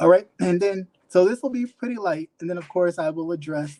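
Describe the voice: This man talks at a fairly quick pace with ordinary pitch variation. His voice is high-pitched for a man, with a dark, mellow tone.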